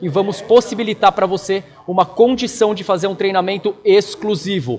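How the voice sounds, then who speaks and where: There is noticeable background noise as a man talks in an energetic tone. His pitch is high, with ordinary variation. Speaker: marketing trainer for tattoo artists. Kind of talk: online training lecture. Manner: fast; direct, energetic.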